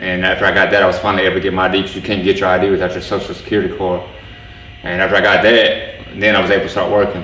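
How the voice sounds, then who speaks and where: Amid noticeable background noise and audible room echo, a man with an American accent and a fairly low pitch speaks at a very fast pace in a monotone, flat intonation. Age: 40s. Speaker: former prisoner in a halfway house. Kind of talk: testimony interview. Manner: halting, repeats words.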